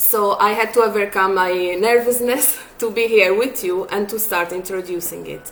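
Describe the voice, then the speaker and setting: Over noticeable background noise, a woman with a non-native accent talks with fairly even intonation. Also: medium pitch for a woman, moderate pace. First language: not English. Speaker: psychologist. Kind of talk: tutorial. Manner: hesitant, with filler sounds.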